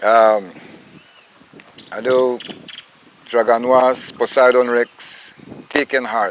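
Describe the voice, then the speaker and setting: A man with a Belizean accent speaks very slowly, with long, frequent pauses. His intonation is monotone and flat, and there is noticeable background noise. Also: medium pitch for a man. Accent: Belizean Creole English. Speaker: actor, writer and poet. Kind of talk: interview answer.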